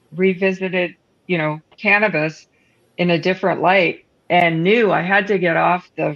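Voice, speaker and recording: This is an ordinary speaking voice with a Canadian accent. The pace is fairly slow and the intonation fairly even. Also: woman. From Northern Ontario, Canada. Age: 60s. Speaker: cannabis product entrepreneur. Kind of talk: casual chat.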